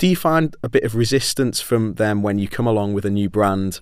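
A plain, everyday voice from a man at a fairly quick pace, in a very clean recording with a silent background. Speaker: law firm sector lead, podcast host. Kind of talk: podcast interview.

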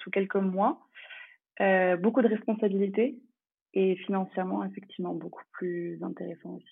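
Here a woman speaks at a moderate pace. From France. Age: 20s. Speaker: traveller and expat. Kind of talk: interview.

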